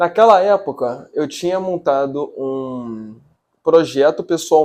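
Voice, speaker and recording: A man with an ordinary speaking voice, fairly high in pitch, with ordinary pitch variation. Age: 20s. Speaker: journalism student. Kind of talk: video presentation.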